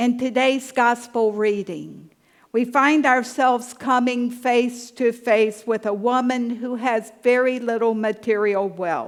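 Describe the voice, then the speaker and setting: A woman speaks at a very slow pace in a high voice with a Southern US accent. Her intonation stays fairly even. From US South. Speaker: pastor. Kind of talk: sermon.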